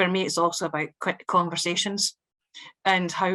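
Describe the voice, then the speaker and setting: Over a quiet background, a woman with a strong Scottish accent talks at a fairly quick pace in a monotone, flat intonation. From Scotland. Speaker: local government social care director. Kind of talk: panel testimony. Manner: hesitant, many fillers.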